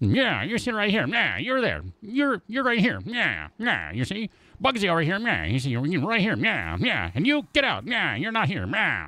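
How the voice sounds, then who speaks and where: A man's high-pitched, put-on character voice with hardly any pauses. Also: moderate pace, very clean recording, silent background. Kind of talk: tough street slang.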